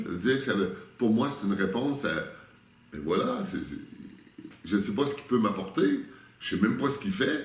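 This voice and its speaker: A man talks at a fairly quick pace but leaves long, frequent pauses. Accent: Quebec. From Quebec. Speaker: spiritual workshop leader. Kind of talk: interview answer.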